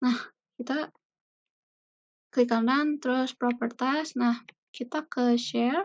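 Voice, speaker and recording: A soft-spoken woman, high in pitch with ordinary variation, at a very slow pace. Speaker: university student; presenter. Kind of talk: tutorial. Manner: casual. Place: home room. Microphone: webcam.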